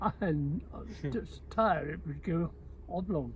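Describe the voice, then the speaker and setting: This speaker has a Channel Islands accent. The pace is very slow. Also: man. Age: 80s+. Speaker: war occupation survivor. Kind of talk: personal reminiscence.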